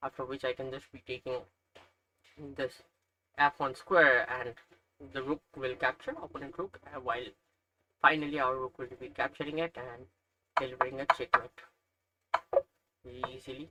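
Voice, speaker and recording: Pausing long and often, a man with a Nepali accent speaks at a moderate pace and medium pitch, recorded dry and close with no echo. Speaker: chess learner streamer. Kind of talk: tutorial. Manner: hesitant, with fillers.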